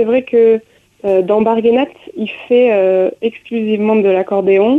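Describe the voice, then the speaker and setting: Her pitch is fairly high for a woman. The pitch variation is ordinary. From France, grew up touring with a circus. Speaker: musician, violinist and dancer. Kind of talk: radio interview.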